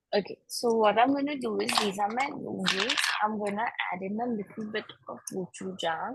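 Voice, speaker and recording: At a moderate pace, a woman speaks in a fairly high pitch with ordinary pitch variation. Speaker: cooking class instructor. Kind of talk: online cooking class. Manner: loud. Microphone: too quiet, hard to hear.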